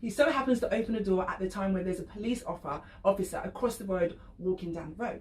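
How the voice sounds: Talking at a fast pace, a woman has a slightly mellow tone and ordinary pitch variation. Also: medium pitch for a woman.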